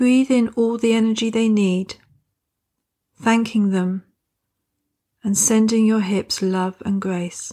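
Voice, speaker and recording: A very slow, calm and soothing woman's voice, dark and mellow yet fairly high, with fairly even intonation and long, frequent pauses. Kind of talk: guided meditation. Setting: recording. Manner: slow, calm, soothing with gentle pauses; soft-spoken, nurturing and reassuring.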